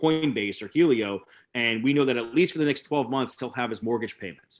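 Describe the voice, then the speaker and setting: With an American accent, a man talks fairly quickly at a medium pitch with ordinary pitch variation. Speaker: crypto lending specialist. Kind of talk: webinar presentation. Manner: fast; hesitant with fillers.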